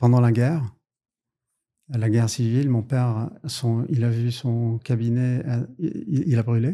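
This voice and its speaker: A dark, mellow tone carries speech delivered at a very slow pace. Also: man. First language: English (formal education in English) (speaking French). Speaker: lawyer. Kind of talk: podcast interview. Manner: halting, many hesitations.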